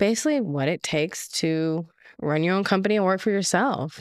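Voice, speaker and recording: The speech is fairly quick, with lively intonation. The recording is very clean, and the background is silent. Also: woman. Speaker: podcast co-host. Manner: quiet.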